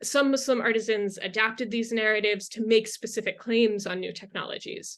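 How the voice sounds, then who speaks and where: A woman with an American accent has a normal speaking voice at a fairly high pitch. She talks at a fairly quick pace with fairly even intonation. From US. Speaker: history lecturer. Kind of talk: interview. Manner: formal, frequent fillers.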